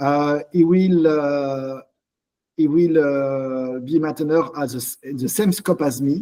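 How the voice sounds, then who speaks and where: A dark, mellow tone in a strong French accent, with a moderate pace and ordinary pitch variation. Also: man. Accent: thick French. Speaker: open-source software community leader. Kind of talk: online community meeting presentation. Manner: halting, many fillers.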